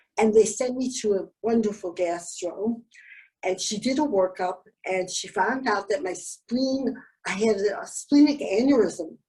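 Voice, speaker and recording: Somewhat breathy, a woman speaks fairly slowly at a fairly high pitch with ordinary pitch variation. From Canada. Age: 70s. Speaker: Wilson's disease patient. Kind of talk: interview answer.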